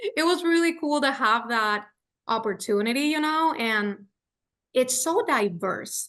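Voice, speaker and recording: A woman speaks at a fairly slow pace and a high pitch, with very wide pitch swings. Her tone is bright and sharp over a quiet background. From Puerto Rico. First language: Spanish. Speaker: radio host. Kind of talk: casual chat.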